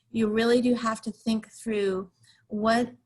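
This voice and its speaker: The woman sounds somewhat breathy, with fairly even intonation. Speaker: facilitation trainer. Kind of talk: webinar presentation.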